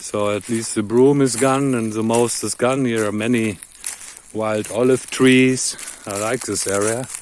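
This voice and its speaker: There is noticeable background noise behind this recording. A man with a medium-pitched voice speaks at a fairly slow pace. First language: not English. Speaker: off-grid farmer and vlogger. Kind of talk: casual vlog narration while working outdoors. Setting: outdoors on farm land.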